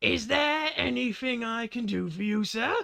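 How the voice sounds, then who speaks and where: Using an extremely high pitch, a man speaks in a put-on character voice. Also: moderate pace. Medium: actual play. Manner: polite, stammering.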